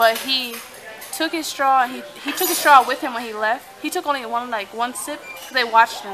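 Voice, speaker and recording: A woman speaks at a high pitch and a moderate pace. Noticeable background noise sits behind her. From San Diego, California. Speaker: vlogger. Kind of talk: casual vlog chat. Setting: restaurant. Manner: stutters at times; bubbly.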